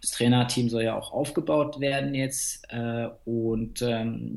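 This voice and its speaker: A man talks fairly slowly, his words carrying audible room echo. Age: 30s. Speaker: fitness coach. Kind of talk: interview.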